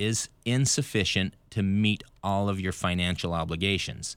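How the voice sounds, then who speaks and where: At a moderate pace, a man with a fairly low pitch and an unremarkable speaking voice talks in a very clean recording with a silent background. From Idaho. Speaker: bankruptcy lawyer. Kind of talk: radio interview.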